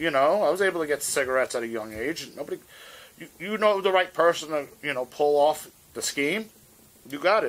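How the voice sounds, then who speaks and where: Speaking fairly quickly in a New York accent, a man uses lively intonation and a fairly high pitch. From New York City, Manhattan; New York City. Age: 50s. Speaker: hardcore guitarist; interviewee. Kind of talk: oral history interview; interview answer. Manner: casual, halting with many fillers.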